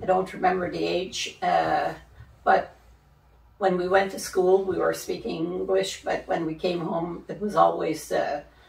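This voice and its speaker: A woman with a Canadian accent speaks at a fairly slow pace. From Quebec, Algonquin community. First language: Algonquin. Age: 70s. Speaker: residential school survivor. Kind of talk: testimony.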